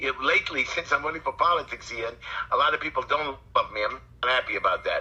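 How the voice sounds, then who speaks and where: Noticeable background noise sits behind the voice. A man with a Brooklyn accent talks at a fairly quick pace. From New York, Brooklyn. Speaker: community activist and city council candidate. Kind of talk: interview. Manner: animated.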